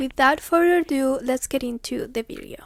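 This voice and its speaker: A woman in a Spanish accent with a high pitch and ordinary pitch variation, in a dry, close sound with no echo. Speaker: booktuber. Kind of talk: book plot recap. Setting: recorded at home in front of camera. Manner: occasionally halting.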